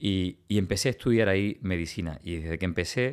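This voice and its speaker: A man talks in a plain, everyday voice at a fairly quick pace. His pitch is fairly low with ordinary pitch variation, on a very clean recording with a silent background. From Cuba, Villa Clara province. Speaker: oncologist. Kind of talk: interview.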